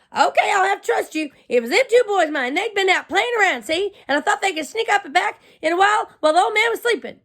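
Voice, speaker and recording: A woman's extremely high, raised and projected put-on character voice, very fast with hardly any pauses. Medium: read story. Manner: rambling, complaining.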